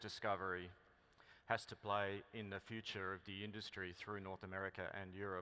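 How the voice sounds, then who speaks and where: Here a man speaks with an Australian accent at a moderate pace. His voice is fairly low, with a bright, sharp tone. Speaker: mining company executive. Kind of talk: conference keynote speech.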